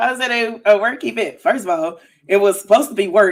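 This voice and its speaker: Here a woman speaks loudly at a moderate pace. Her pitch is fairly high. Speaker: podcast co-host. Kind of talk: casual chat.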